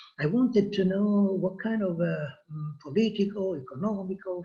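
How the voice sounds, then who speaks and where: A man with an Italian accent talks at a fairly slow pace with lively intonation. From Italy, Florence. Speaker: history professor. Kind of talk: personal introduction. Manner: hesitant, many filler sounds.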